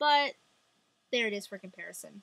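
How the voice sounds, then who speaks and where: With ordinary pitch variation, the voice has a bright, sharp tone and a dry, close sound with no echo. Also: woman. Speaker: beauty vlogger. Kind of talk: casual product review to camera. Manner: fast; chatty, many fillers.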